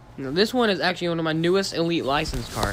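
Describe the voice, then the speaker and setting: Noticeable background noise surrounds the recording. A man speaks quite quickly, with ordinary pitch variation. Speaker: gaming streamer. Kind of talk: live stream game walkthrough. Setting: screen-recorded live stream. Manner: fast; casual, filler-heavy.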